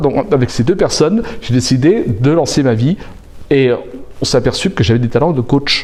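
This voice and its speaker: Medium-pitched male voice with lively intonation at a moderate pace, over noticeable background noise. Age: 60s. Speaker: aspiring coach and infopreneur. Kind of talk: interview. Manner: hesitant.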